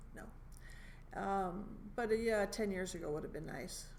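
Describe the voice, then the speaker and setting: The room has audible echo. A woman speaks at medium pitch. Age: 70s. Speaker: stand-up comedian. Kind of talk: casual chat. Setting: comedy club room.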